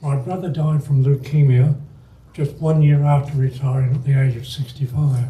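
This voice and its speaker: Somewhat breathy and monotone, a man speaks at a moderate pace with a fairly high pitch and a dark, mellow tone. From England. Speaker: retired club member giving life story talk. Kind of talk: personal life story talk. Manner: halting, with self-corrections.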